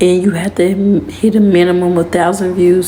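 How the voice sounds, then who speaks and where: A woman's medium-pitched voice with monotone, flat intonation, against noticeable background noise. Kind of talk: casual talk to camera.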